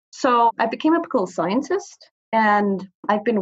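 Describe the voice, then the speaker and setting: This woman's voice is somewhat breathy and fairly high in pitch. Her intonation is lively. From Greenland, Nuuk. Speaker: consultant on Arctic affairs. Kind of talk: interview.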